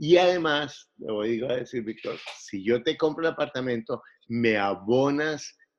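This man talks at a medium pitch with ordinary pitch variation and a Bogotá accent. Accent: Bogotá Colombian Spanish. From Colombia, Bogotá. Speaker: real estate investor. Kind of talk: interview.

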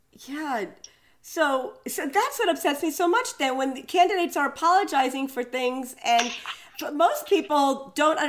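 Lively intonation carries a woman's speech at a moderate pace through noticeable background noise. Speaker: political commentator. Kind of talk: casual chat. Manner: hesitant, many fillers.

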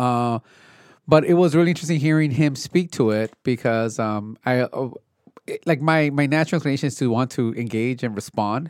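Recorded very cleanly with a silent background and a dry, close sound with no echo, a man with an unremarkable speaking voice talks at a fairly quick pace and medium pitch with ordinary pitch variation. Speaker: podcast co-host. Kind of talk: casual chat, political discussion.

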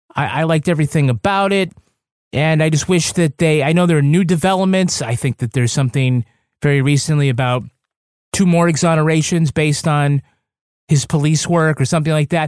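A normal speaking voice from a man, fairly high in pitch and fairly quick, with a dry, close sound and no echo. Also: ordinary pitch variation, very even loudness. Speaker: true crime author and podcast co-host. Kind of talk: casual banter and podcast review. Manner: joking, playful.

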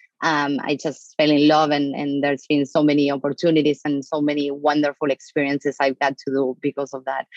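Speaking at a fairly quick pace, a woman uses a very deep, low pitch and a monotone, flat intonation. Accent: Argentine. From Argentina. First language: Spanish. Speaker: marketing executive. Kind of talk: interview. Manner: direct.

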